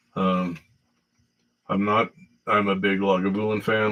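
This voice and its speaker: Fairly low-pitched male speech with fairly even intonation. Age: 60s. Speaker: whiskey livestreamer. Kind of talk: casual livestream chat. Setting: livestream on laptop camera. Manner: halting, many fillers.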